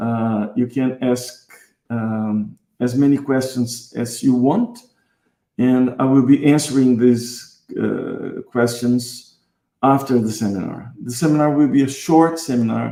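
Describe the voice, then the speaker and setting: In a Brazilian accent, a man speaks very slowly at a medium pitch, his tone dark and mellow and his intonation fairly even. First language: Portuguese. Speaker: guitarist and music teacher. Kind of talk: online seminar. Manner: halting, with many fillers.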